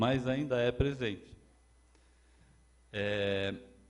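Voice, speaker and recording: Audible room echo follows a man as he speaks. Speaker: lecturer. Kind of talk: lecture. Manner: halting, repeats words; gets louder when excited.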